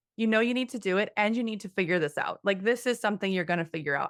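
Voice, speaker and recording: In a very clean recording with a silent background, a woman speaks very fast with ordinary pitch variation. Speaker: ballet teacher. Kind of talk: interview. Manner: soft-spoken.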